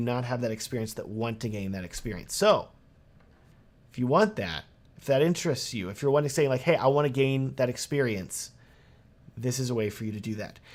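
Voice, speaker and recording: A man with a slight Texan accent speaks at a fairly quick pace and medium pitch, with lively intonation and an animated tone. His loudness swings widely, and the recording is very clean with a silent background. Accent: Texas accent, slight. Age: 30s. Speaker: wedding videographer and course creator. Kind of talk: sales pitch; live stream Q&A. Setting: live stream with chat.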